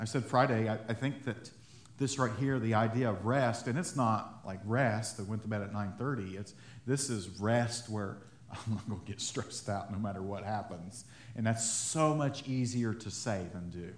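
A man at medium pitch and moderate pace, somewhat breathy, with ordinary pitch variation and audible room echo. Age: 30s. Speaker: pastor. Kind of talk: sermon. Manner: halting.

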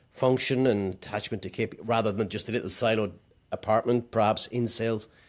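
A man with an Irish accent, medium pitch, a fairly quick pace and monotone, flat intonation, in a very clean recording with a silent background. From Ireland, County Meath area. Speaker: podcast host. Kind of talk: casual interview conversation.

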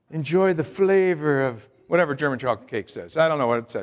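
At a moderate pace, a man is talking. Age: 60s. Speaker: pastor. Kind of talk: Sunday sermon to a church congregation, with call-and-response. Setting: church with congregation. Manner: conversational, folksy preaching with asides and humor; repetitive, halting restarts.

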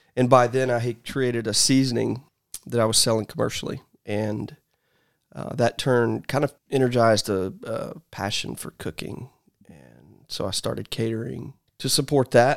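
Using an ordinary speaking voice, a man at medium pitch talks at a moderate pace with fairly even intonation and big swings in loudness. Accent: American. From US South, Georgia. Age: 40s. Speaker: barbecue restaurant owner. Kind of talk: casual chat.

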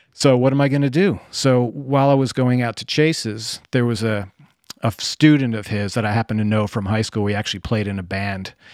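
A man's medium-pitched voice with an American accent, fairly quick pace and ordinary pitch variation. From US Northeast, New Jersey. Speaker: bonsai artist and musician. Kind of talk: casual chat.

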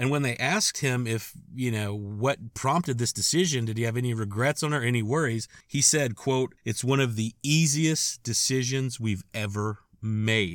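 Using a plain, everyday voice, a man keeps to a medium pitch and a moderate pace, varying his pitch an ordinary amount. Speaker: podcast host. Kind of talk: scripted-style storytelling monologue. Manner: casual, conversational, wry and humorous; warm, upbeat sign-off.

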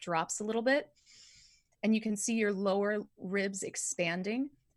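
A woman with an American accent talks at a moderate pace in a somewhat breathy voice. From Southern California. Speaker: vocal coach. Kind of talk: casual chat with vocal instruction.

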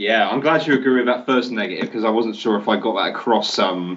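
Someone with a British accent talks at a fairly quick pace, using ordinary pitch variation. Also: man. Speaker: games journalist. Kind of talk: casual chat.

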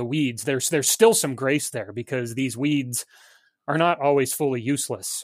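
A man with a normal speaking voice and a fairly high pitch, on a very clean recording with a silent background. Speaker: pastor. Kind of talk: casual theological discussion.

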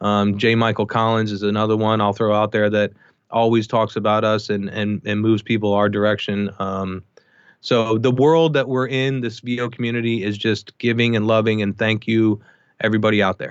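In an American accent, a man speaks at a moderate pace with a fairly low pitch and monotone, flat intonation. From US, Baltimore then Boulder, Colorado. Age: 50s. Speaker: audiobook engineer. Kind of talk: casual interview chat.

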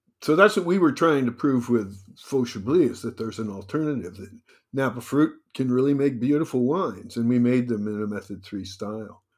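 A man with an American accent talks at a moderate pace in an unremarkable speaking voice, his pitch medium and his intonation lively. His loudness swings widely, and the recording is very clean with a silent background. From New Jersey. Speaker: winemaker and wine consultant. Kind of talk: interview.

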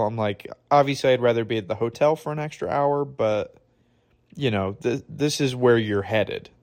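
A man with an American accent at a fairly quick pace, on a very clean recording with a silent background. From Michigan. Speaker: podcast host. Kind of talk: casual storytelling. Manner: animated.

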